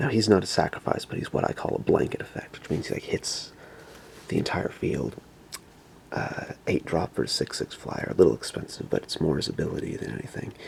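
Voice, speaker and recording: A man at a fairly quick pace, broken by long, frequent pauses. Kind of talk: ASMR whisper video.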